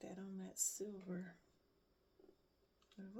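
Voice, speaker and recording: The voice has a relaxed tone. It moves at a very slow pace. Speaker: crafter making handmade bags. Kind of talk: casual craft tutorial vlog. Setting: at home craft table, early morning. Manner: relaxed, thinking aloud.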